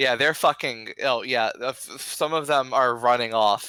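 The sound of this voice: An unforced reading voice, with ordinary pitch variation.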